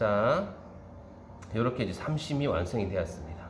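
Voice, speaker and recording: The speaker has a strong Gyeongsang accent and a relaxed tone. Room echo is audible, with noticeable background noise. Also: man. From Gyeongsang Province, South Korea. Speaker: baking instructor. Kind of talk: tutorial. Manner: relaxed step-by-step, frequent filler 'ja'.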